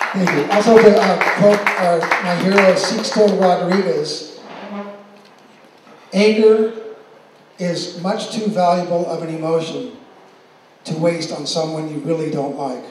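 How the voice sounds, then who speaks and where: Amid noticeable background noise and audible room echo, a man with a high pitch talks at a fairly slow pace with ordinary pitch variation, big swings in loudness and long, frequent pauses. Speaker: event emcee. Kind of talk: award presentation speech. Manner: relaxed, calm tone.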